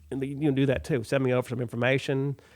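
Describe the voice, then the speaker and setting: This is a man speaking. He has a Texan accent. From Texas. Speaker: community radio host. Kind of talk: casual radio talk. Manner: halting, many fillers.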